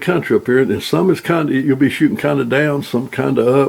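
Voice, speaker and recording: This man's pitch sits fairly high and his pace is moderate. Noticeable background noise runs behind him. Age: 80s+. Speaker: outdoorsman demonstrating shooting rests. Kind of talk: tutorial. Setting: at the farm.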